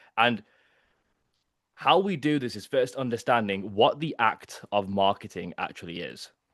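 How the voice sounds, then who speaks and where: A man at a medium pitch, moderate pace and lively intonation, big swings in loudness over a quiet background. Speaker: marketing coach. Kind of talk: workshop presentation. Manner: animated.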